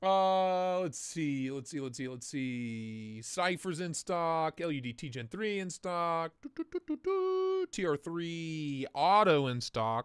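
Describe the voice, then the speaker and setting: Very slowly, a man with an American accent speaks at a high pitch with lively intonation. The recording is very clean, the background silent. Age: 30s. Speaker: knife livestream host. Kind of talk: live stream chat. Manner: animated.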